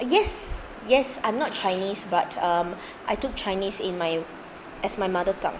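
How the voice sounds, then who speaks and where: With a Singaporean accent, a woman speaks at a fairly slow pace and medium pitch with ordinary pitch variation, while noticeable background noise runs behind her. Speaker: maths tutor. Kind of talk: live online tutorial. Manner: casual, chatty.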